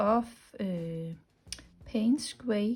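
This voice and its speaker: Speaking very slowly with a non-native accent, a woman has a dark, mellow tone and ordinary pitch variation. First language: not English. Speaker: watercolour painting teacher. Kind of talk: tutorial. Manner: hesitant, many fillers.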